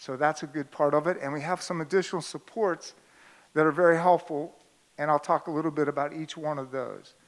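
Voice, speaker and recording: Here is a man with an ordinary speaking voice. His pitch is fairly high, with fairly even intonation. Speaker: school administrator. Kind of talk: presentation to parents.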